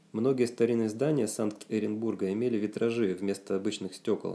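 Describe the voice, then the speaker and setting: Fairly quick in pace, a man talks at a fairly low pitch in a dark, mellow tone with fairly even intonation. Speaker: author reading his own book. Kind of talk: reading aloud. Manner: plain, not like a TV announcer; expressive intonation.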